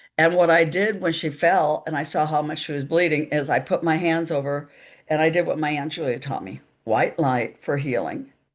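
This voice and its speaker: The speaker has an American accent and talks at a moderate pace. The background is quiet. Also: woman, very deep, low pitch for a woman, ordinary pitch variation. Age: 70s. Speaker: psychic medium. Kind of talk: interview storytelling. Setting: live stream.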